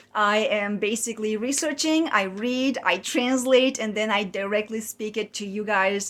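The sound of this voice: A woman speaks at a moderate pace in a medium pitch. Her tone is fairly bright, with ordinary pitch variation.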